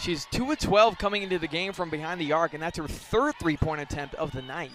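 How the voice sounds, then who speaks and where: With noticeable background noise, a man talks at a fairly quick pace in a high pitch with ordinary pitch variation. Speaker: basketball color commentator. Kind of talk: live college basketball TV analysis.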